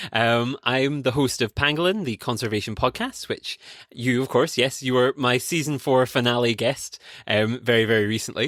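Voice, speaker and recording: A man with a Scottish accent talks at a moderate pace, with fairly even intonation and very even loudness. The recording is very clean and dry, close with no echo, against a silent background. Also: medium pitch for a man. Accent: Scottish, noticeable. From Scotland. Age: 20s. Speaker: conservation podcast host and PhD student. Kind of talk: interview conversation.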